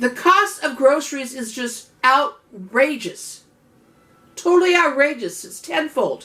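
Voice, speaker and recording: Speaking at a very slow pace, a woman uses a raised, projected voice with a high pitch, very wide pitch swings and big swings in loudness. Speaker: home canning cooking channel host. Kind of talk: cooking tutorial. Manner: casual, chatty.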